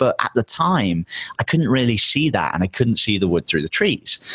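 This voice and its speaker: Someone with an English accent talks at a fairly quick pace with very wide pitch swings, the sound dry and close with no echo. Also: man. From England. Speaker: entrepreneur and podcaster. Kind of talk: casual interview chat. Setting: podcast interview.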